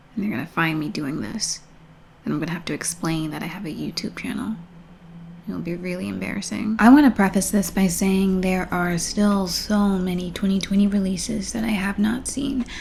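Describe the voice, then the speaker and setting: A woman speaks softly at a moderate pace. Her pitch is medium, with ordinary variation. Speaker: film vlogger. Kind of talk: casual monologue. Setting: at home at night. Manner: soft-spoken.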